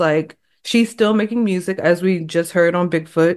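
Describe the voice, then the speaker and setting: An unremarkable speaking voice with an American accent, moderate pace and ordinary pitch variation. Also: woman. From Texas. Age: 30s. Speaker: hip hop journalist and author. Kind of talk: casual interview chat.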